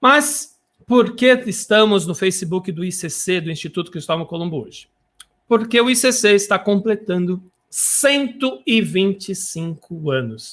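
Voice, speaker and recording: A man with a high pitch and lively intonation, at a fairly slow pace with big swings in loudness, in a very clean recording with a silent background. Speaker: web radio host. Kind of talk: live radio show. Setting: home studio, live broadcast. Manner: animated.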